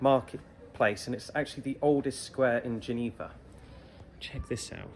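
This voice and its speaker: Speaking with an English accent, a man talks at a moderate pace and a medium pitch. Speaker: travel vlogger. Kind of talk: walking tour guide. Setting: outdoors. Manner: animated.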